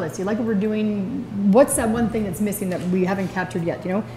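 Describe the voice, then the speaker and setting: A woman talks with noticeable background noise and audible room echo around her. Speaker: executive director of a sports association. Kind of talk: report speech at an annual general meeting. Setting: meeting room with audience. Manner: fast.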